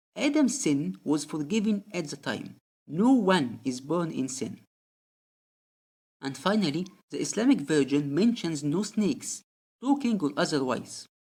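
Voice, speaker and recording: Long, frequent pauses mark the fairly slow pace in a very clean recording with a silent background. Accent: non-native. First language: not English. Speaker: religious commentary video creator. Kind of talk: scripted narration.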